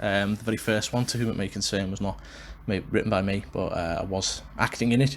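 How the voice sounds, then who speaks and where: A man with a Liverpool accent speaks at a fairly quick pace. His fairly low voice keeps fairly even intonation. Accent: Liverpool (Scouse). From Liverpool, England. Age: 20s. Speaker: wrestling podcaster and actor. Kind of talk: solo podcast monologue. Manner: casual with many fillers.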